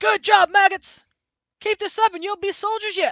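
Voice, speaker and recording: A put-on character voice pitched extremely high. The delivery is monotone, with flat intonation. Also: moderate pace. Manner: gruff, shouting, commanding.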